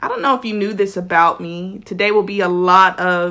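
A woman with an American accent sounds animated, her tone bright and sharp. She keeps a moderate pace on a very clean recording with a silent background. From South Florida. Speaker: podcast host and writer. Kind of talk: solo podcast monologue, motivational.

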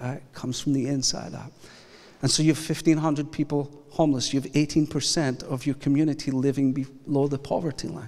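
Here a man speaks in a Scottish accent at a moderate pace. His voice is fairly high, with monotone, flat intonation. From Scotland. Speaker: pastor. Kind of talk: sermon. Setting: church.

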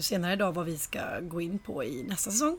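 This woman has an ordinary speaking voice at a medium pitch. She talks at a moderate pace. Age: 30s. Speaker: podcast co-host. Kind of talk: casual chat. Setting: in a flat with balcony door open.

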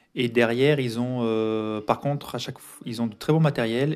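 This man's voice sits at medium pitch. His intonation is fairly even. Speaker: podcaster. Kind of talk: solo diary-style monologue. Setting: home recording. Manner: hesitant with many fillers. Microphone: foam added to dampen echo.

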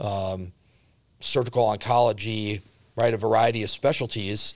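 A man speaks in a normal speaking voice with ordinary pitch variation and an American accent, on a very clean recording with a silent background. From Central Wisconsin. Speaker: healthcare company CEO. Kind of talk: casual interview.

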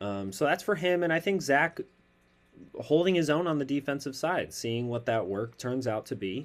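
In a normal speaking voice, a man with an American accent and a fairly high pitch talks at a moderate pace with lively intonation on a very clean recording with a silent background. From Chicago. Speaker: sports podcast host. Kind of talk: casual sports chat.

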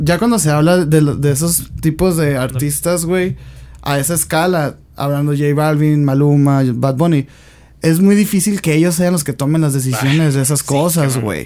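A man with a dark, mellow tone talks at a fairly high pitch and a moderate pace. His pitch varies in an ordinary way. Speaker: podcast co-host. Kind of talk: casual chat.

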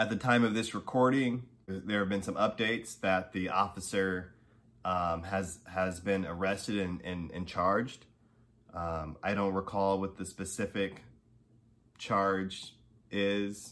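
Speaking at a fairly slow pace, a man has a normal speaking voice, fairly low in pitch, with fairly even intonation. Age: 30s. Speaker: podcast host. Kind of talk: casual monologue. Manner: casual, many filler words.

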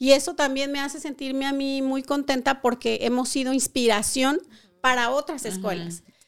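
On a very clean recording with a silent background, a woman with a high voice speaks at a moderate pace with hardly any pauses, ordinary pitch variation and big swings in loudness. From Colima, western Mexico. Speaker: beauty school owner. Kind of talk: interview.

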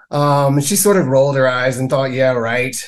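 A man with a plain, everyday voice talks at a fairly quick pace, his pitch fairly high. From US South, Mississippi. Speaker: casting director. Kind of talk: interview.

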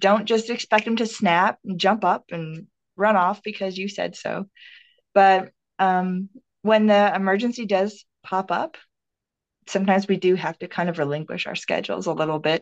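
A woman speaks in an ordinary speaking voice with an American accent, at a medium pitch and a moderate pace. Her intonation is fairly even, and the sound is dry and close with no echo against a quiet background. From Minnesota. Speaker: minister. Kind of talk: interview conversation.

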